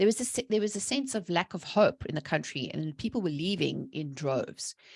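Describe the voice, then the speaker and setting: A woman with a medium-pitched voice speaks at a fairly quick pace in an animated tone, her pitch swinging very widely with vocal fry, against a quiet background. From South Africa. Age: 40s. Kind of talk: podcast interview testimony. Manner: fast.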